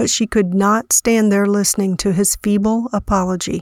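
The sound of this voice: An unforced reading voice delivers the lines with fairly even intonation.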